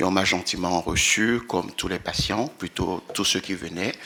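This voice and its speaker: A man with a very deep, low pitch and a bright, sharp tone, fairly even intonation and a fairly slow pace. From Benin. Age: 60s. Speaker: employee with sickle cell disease giving testimony. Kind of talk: testimony at a round table.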